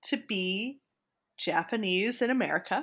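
Recorded very cleanly against a silent background, a woman speaks very slowly in a bright, sharp tone at a fairly high pitch. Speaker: podcast co-host. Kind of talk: casual chat.

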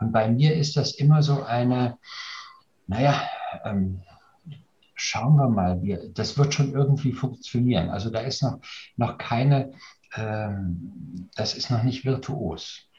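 A man's somewhat breathy, dark, mellow voice at medium pitch, very slow, with ordinary pitch variation and long, frequent pauses. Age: 60s. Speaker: leadership coach. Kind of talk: casual discussion. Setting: video call.

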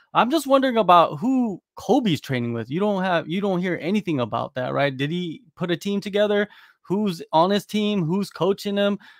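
A man with an American accent and a high pitch speaks at a moderate pace with lively intonation and hardly any pauses, his sound dry and close with no echo on a very clean recording with a silent background. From United States. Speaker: MMA journalist. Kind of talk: casual chat.

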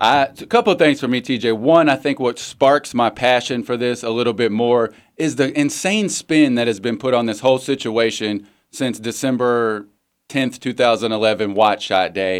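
At a moderate pace, a man with an American accent speaks in a medium pitch with ordinary pitch variation, in a very clean recording with a silent background. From Western Kentucky. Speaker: guest sports radio co-host. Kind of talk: casual chat.

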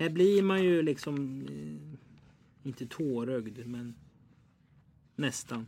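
A man with a medium pitch and a dark, mellow tone speaks at a very slow pace. His intonation is lively, broken by long, frequent pauses. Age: 20s. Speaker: podcast host. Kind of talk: casual chat.

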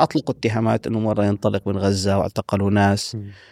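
On a very clean recording with a silent background and a dry, close sound with no echo, a man with a fairly low pitch speaks in a normal speaking voice at a fairly quick pace. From Palestinian, raised in Saudi Arabia (Medina) and Syria. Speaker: linguist and historian. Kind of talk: interview conversation. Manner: formal.

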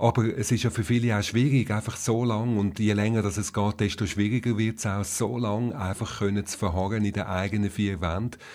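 On a very clean recording with a silent background, a man speaks in an ordinary speaking voice, fairly low in pitch, with fairly even intonation and a moderate pace. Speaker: podcast host. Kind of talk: interview.

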